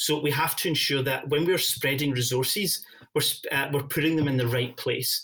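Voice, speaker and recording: A man with a Scottish accent, fairly high in pitch, at a moderate pace, with fairly even intonation and very even loudness. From Scotland. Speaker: partner enablement lead at a software company. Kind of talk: podcast interview. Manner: frequent fillers and hesitations.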